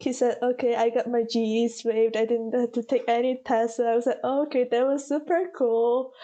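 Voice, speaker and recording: Speaking in a Korean accent, a woman has a high pitch and a dark, mellow tone, with fairly even intonation, very even loudness, a moderate pace and hardly any pauses. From South Korea. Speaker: college student. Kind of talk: interview.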